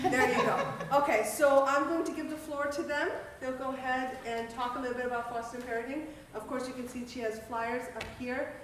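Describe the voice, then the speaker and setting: A loud woman with a high pitch and fairly even intonation speaks at a fairly quick pace amid noticeable background noise and audible room echo. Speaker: event moderator introducing speakers. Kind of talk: event introduction to an audience. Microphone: speaking without a microphone.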